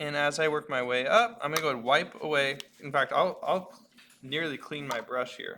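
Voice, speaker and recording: A man's fairly high pitch and bright, sharp tone, with ordinary pitch variation at a moderate pace. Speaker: art teacher. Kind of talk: tutorial. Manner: casual, hesitant with fillers.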